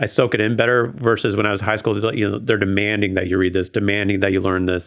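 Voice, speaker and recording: A man with an American accent talks at a very fast pace. He barely pauses and keeps a fairly even intonation. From Oregon. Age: 30s. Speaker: podcast guest. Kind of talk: casual interview.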